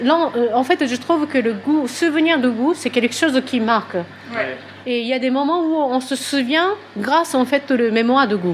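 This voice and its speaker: Over noticeable background noise, a high-voiced woman with a Japanese accent speaks at a moderate pace. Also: ordinary pitch variation. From Japan, Tokyo. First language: Japanese (speaking French). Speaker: pastry consultant. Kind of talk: interview. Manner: halting.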